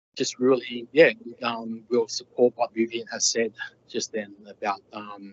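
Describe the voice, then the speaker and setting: At a moderate pace, a man talks at a medium pitch. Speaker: resident speaking at council meeting. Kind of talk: public comment. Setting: council meeting. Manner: halting, many fillers.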